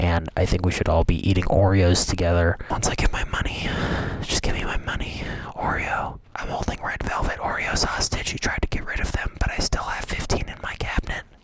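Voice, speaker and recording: Over noticeable background noise, the whispered words come at a fairly quick pace. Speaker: YouTuber and improv performer. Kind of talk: comedic vlog monologue. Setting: home recording, mic held on fingers.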